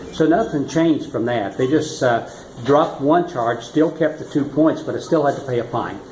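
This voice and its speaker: In an American accent, a man with a fairly high voice speaks through noticeable background noise and audible room echo. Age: 60s. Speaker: retired-age driver fined in traffic court. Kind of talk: interview. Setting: courthouse. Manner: halting.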